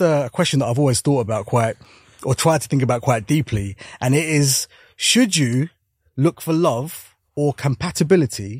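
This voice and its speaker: On a very clean recording with a silent background and a dry, close sound with no echo, a man speaks at medium pitch and a moderate pace, somewhat breathy, with lively intonation. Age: 40s. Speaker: comedian and TV panelist. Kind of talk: casual chat. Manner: halting.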